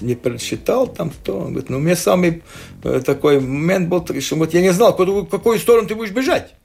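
Noticeable background noise behind a man's moderately paced speech with very wide pitch swings. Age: 60s. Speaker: sports photographer. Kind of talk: casual chat. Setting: studio. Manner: halting.

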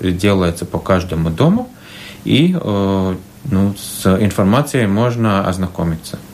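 Over noticeable background noise, a man talks in a very deep, low pitch. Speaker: municipal housing company head. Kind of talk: radio interview. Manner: halting.

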